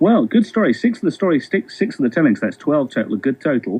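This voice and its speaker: A man talks at a very fast pace in a fairly high pitch. His voice shows vocal fry and very wide pitch swings. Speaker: radio presenter. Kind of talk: radio phone-in hosting.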